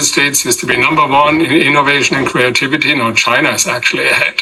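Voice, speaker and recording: Noticeable background noise sits behind a man speaking at a fairly high pitch with a German accent. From Germany. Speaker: political science professor. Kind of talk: interview.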